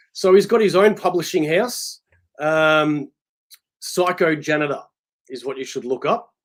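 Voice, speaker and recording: A man with an Australian accent speaks at a high pitch and a fairly slow pace, with ordinary pitch variation, big swings in loudness and long, frequent pauses. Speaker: comic book collector. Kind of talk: casual chat.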